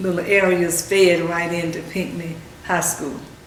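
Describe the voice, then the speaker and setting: The speaker has a North Carolina accent and a fairly slow pace with monotone, flat intonation. There is audible room echo and noticeable background noise. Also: woman. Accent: Southern US (North Carolina). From US South, North Carolina (Carthage, Moore County). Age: 70s. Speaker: oral history interviewee. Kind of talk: oral history interview. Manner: halting, many fillers.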